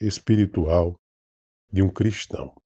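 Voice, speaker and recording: Recorded dry and close with no echo against a quiet background, a man speaks in a dark, mellow, somewhat breathy tone. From Brazil, Northeast. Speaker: pastor. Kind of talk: informal religious talk. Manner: halting, many false starts.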